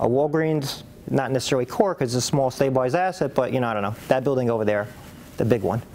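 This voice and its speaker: Music plays in the background. The speech comes at a very fast pace with ordinary pitch variation. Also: man. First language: not English. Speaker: real estate investment banker and lecturer. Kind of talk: presentation.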